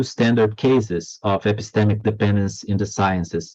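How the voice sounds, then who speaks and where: A man's fairly low voice at a moderate pace, fairly even in intonation, against a quiet background. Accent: non-native. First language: not English. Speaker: philosophy of history professor. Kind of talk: academic lecture read from text. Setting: online lecture. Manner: halting, with many fillers and repetitions.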